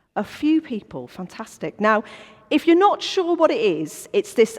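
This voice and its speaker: Her pitch swings very widely. The woman's tone is animated. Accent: Welsh. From North Wales. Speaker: business owner, former history teacher. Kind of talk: church talk. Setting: church coffee morning with audience.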